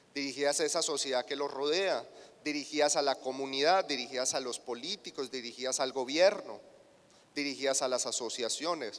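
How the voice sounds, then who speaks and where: Fairly quick speech from a man with a Colombian accent, fairly high in pitch, with ordinary pitch variation. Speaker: agribusiness marketing specialist. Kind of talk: conference keynote lecture.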